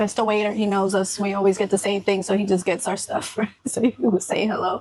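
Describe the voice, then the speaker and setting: Using a normal speaking voice, a woman talks at a fairly quick pace with medium pitch and fairly even intonation. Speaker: travel vlogger. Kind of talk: casual chat.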